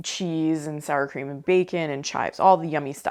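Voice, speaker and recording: Her pitch is fairly low, and this woman speaks with an American accent. She keeps a fairly quick pace and ordinary pitch variation. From US Midwest, Ohio. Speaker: cooking channel host. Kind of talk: casual review of cooked recipes. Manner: casual, chatty.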